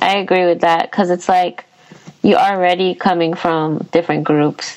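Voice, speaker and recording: Over noticeable background noise, a woman with an American accent speaks at a moderate pace in a fairly low, flat monotone. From US (Filipino American). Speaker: podcast host. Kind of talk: casual chat.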